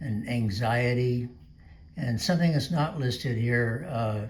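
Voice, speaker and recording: A man's medium-pitched, somewhat breathy voice at a fairly slow pace, with ordinary pitch variation and audible room echo. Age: 70s. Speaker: video blogger with Parkinson's disease. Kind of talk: personal video talk. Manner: halting, many fillers.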